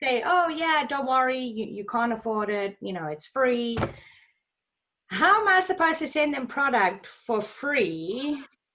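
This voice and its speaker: A woman with a high pitch speaks in a raised, projected voice at a fairly slow pace. Her pitch swings very widely. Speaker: sales team member. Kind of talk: team training video call. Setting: video call.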